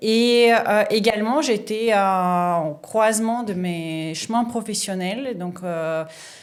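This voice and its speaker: With a Russian accent, a woman speaks at a very slow pace and a fairly high pitch, with ordinary pitch variation and hardly any pauses. Room echo is audible. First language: Russian (speaking French). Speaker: sommelier, former surgeon. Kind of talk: podcast interview. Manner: hesitant, frequent fillers.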